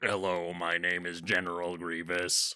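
In a put-on character voice, a man sounds robotic and raspy, with a very deep, low pitch and monotone, flat intonation at a moderate pace.

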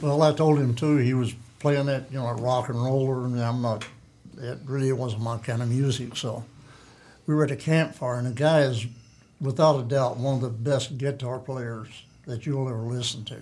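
A man talks at a moderate pace and a medium pitch, with fairly even intonation. His voice is somewhat breathy, with a dark, mellow tone. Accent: American. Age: 80s+. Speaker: veteran bow hunter. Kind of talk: casual interview chat. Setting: studio.

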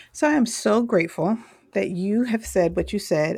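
Over a very clean recording with a silent background, a woman uses a normal speaking voice at a moderate pace with lively intonation. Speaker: podcast host. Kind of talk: interview conversation.

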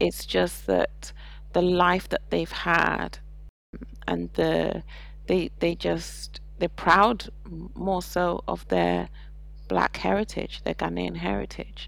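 A very slow female voice with a British accent and long, frequent pauses. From England, with childhood in Saudi Arabia. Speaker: parent and expat. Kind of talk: casual interview.

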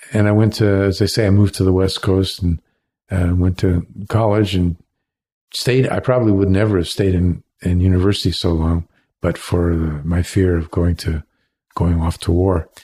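A very deep, low-pitched man with an American accent, somewhat breathy and dark, mellow in tone, with fairly even intonation and very even loudness, on a very clean recording with a silent background. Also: moderate pace. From Cleveland, Ohio, US Midwest. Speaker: leatherworker and former solar industry worker. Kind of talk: casual interview, storytelling.

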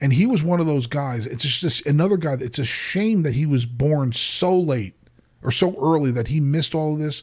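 Fairly high-pitched male voice with an American accent, somewhat breathy and animated, at a moderate pace. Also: ordinary pitch variation. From New Jersey, US. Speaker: podcast host. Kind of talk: casual chat.

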